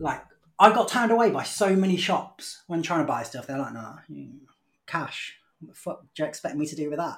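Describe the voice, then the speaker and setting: A man talks with lively intonation and a high pitch. His loudness swings widely. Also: fairly quick pace. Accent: British. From United Kingdom. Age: 30s. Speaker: English teacher. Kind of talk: casual chat.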